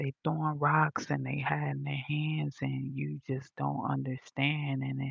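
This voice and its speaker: Soft-spoken whispering at a fairly slow pace, with hardly any pauses. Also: woman. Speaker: livestreamer. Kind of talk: casual livestream chat. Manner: quiet, sounds like whispering. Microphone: phone mic, volume all the way up.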